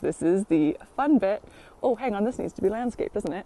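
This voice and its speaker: With an American accent, a woman speaks in a dark, mellow tone, the sound dry and close with no echo. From United States. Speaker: allotment vlogger. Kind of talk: casual vlog tour. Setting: outdoors in the rain. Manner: chatty, lots of fillers.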